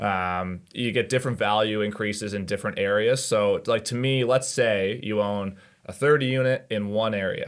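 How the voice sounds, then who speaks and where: A man with an unremarkable speaking voice and a fairly low pitch talks at a moderate pace with fairly even intonation and hardly any pauses. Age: 20s. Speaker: real estate agent. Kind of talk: casual chat.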